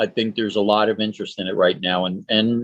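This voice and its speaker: Here is a man with an unremarkable speaking voice. He talks at a fairly quick pace with fairly even intonation. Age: 60s. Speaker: horror host. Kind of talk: casual chat.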